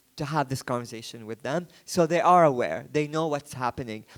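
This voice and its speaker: With a non-native accent, a man speaks at a moderate pace and with fairly even intonation. The recording is very clean, with a silent background. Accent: noticeable foreign. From Yemen. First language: Arabic. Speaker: photographer and book publisher. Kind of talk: book presentation talk. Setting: art book fair stand. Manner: hesitant, with fillers and restarts.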